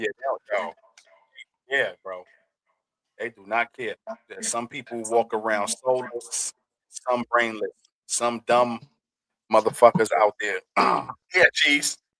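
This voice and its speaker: Very slowly and with long, frequent pauses, a man at medium pitch speaks in a bright, sharp tone with big swings in loudness, the sound dry and close with no echo. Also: ordinary pitch variation. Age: young. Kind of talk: casual chat. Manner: animated.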